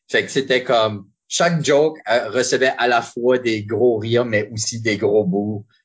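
A man speaks at a fairly slow pace in a medium pitch. His voice is somewhat breathy. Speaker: improviser and referee. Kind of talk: casual interview.

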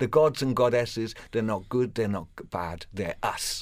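A man speaks at a fairly low pitch in a Welsh accent. The recording is very clean, with a silent background. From Wales. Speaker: professional storyteller. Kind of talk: radio interview; storytelling performance.

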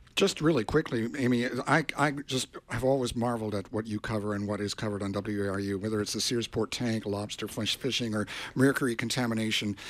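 The speaker uses an ordinary speaking voice. The pace is fairly quick and the intonation fairly even. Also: man, medium pitch for a man. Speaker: radio engineer and co-host. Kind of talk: radio fundraising appeal. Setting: radio studio.

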